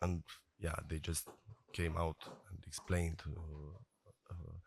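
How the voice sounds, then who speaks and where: Over a silent background on a very clean recording, a man speaks at a fairly slow pace in a very deep, low pitch. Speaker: journalist researching disinformation. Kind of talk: panel discussion. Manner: halting, many fillers.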